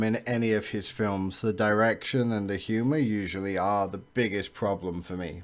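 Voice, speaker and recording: Someone with an English accent speaks at a moderate pace while music plays in the background. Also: man. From England. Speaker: movie reviewer. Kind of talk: film review monologue. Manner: hesitant, frequent uh and um fillers.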